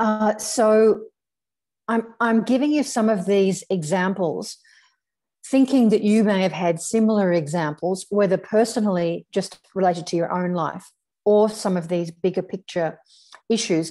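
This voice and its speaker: Medium in pitch with ordinary variation, a woman speaks at a fairly slow pace in a dark, mellow tone. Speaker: spiritual teacher, psychic medium. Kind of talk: online talk to a group. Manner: frequent fillers and repetitions.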